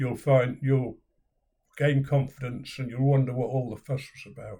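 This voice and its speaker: A man speaks in a British accent with a dark, mellow tone. His delivery is monotone and flat, and somewhat breathy. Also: medium pitch for a man, moderate pace, big swings in loudness. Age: 70s. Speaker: video blogger. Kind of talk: personal vlog.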